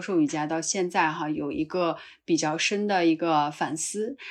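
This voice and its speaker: An unremarkable speaking voice from a woman, fairly low-pitched and fairly slow, against a quiet background. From northwest China, Qinghai-Tibet Plateau. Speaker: yoga teacher. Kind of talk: casual conversation.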